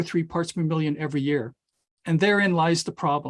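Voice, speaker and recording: Here a man speaks with a high pitch and ordinary pitch variation. The sound is dry and close with no echo, against a quiet background. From Saskatchewan, Canada (Regina). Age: 60s. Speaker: climatologist and professor. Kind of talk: webinar presentation. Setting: online webinar. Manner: hesitant, with repetitions and fillers.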